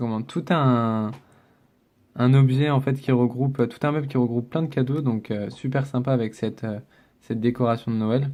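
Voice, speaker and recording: A man at medium pitch with a dark, mellow tone, fairly even intonation and a moderate pace, over a quiet background. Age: 20s. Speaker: gaming YouTuber. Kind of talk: casual gameplay commentary.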